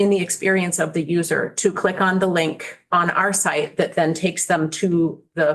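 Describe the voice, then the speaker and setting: Here is a plain, everyday voice, a woman's, at a fairly low pitch. She keeps her intonation fairly even and her pace moderate. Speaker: state secretary of state testifying to committee. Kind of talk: committee testimony.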